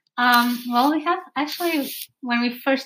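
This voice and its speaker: Her fairly high-pitched voice shows ordinary pitch variation as this woman speaks. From Portugal. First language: Portuguese. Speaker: yoga teacher, nomad. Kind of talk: podcast interview. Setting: in the host's home.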